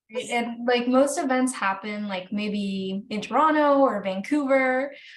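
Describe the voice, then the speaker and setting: Noticeable background noise and audible room echo surround this recording. A woman with a high pitch speaks at a fairly slow pace. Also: ordinary pitch variation. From Acadian New Brunswick, Canada (Charlo). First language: French. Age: 20s. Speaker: book content creator interviewer. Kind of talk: casual chat.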